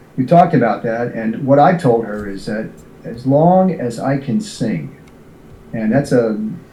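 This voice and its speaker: A man with an American accent speaks at a fairly slow pace and a medium pitch with ordinary variation. Audible room echo surrounds his voice. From New York. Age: 70s. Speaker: singer and retired military officer. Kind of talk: interview. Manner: halting with many fillers.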